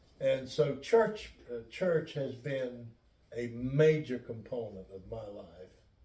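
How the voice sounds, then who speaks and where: Speaking at a very slow pace in a medium pitch, a man with an American accent has a dark, mellow, somewhat breathy tone, lively intonation and big swings in loudness. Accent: Lumbee English, southern US. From US South, North Carolina (Robeson County). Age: 70s. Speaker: pastor. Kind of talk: interview. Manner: halting.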